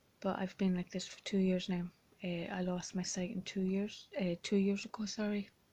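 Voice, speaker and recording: In an Irish accent, a woman speaks at a moderate pace and a medium pitch, with monotone, flat intonation. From Ireland. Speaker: blind vlogger. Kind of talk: personal vlog. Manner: halting, many fillers.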